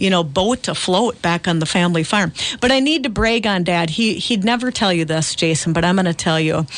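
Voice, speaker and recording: With an Upper Midwest accent, a woman at medium pitch talks at a fairly quick pace with lively intonation, very even loudness and hardly any pauses over noticeable background noise. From Central Minnesota. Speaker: farmland auctioneer. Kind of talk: radio interview. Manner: animated.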